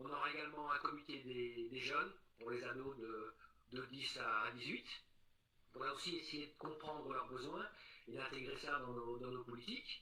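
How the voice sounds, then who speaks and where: Taking long, frequent pauses, a man with a fairly high, bright and sharp voice speaks at a moderate pace with fairly even intonation. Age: 60s. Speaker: local election candidate. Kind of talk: interview. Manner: hesitant, many fillers.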